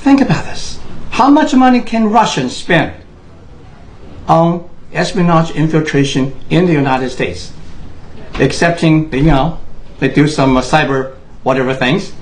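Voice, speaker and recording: Speaking in a Chinese accent at a moderate pace, a man with a fairly high pitch and lively intonation leaves long, frequent pauses amid noticeable background noise and audible room echo. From Taiwan. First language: Mandarin Chinese. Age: 60s. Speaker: political commentator. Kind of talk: monologue. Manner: impassioned.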